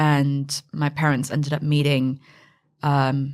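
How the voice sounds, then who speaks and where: A woman with a West Coast American accent speaks at a very deep, low pitch in a monotone, flat intonation. The recording is very clean, with a silent background. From US, Northern California (Silicon Valley). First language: Mandarin. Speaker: fintech founder and CEO. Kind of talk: podcast interview.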